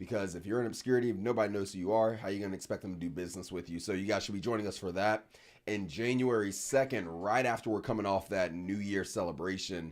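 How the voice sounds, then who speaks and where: Speaking at a very fast pace with hardly any pauses, a man with a fairly low pitch sounds energetic. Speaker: webinar host. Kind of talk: live webinar talk. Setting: livestream. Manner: loud.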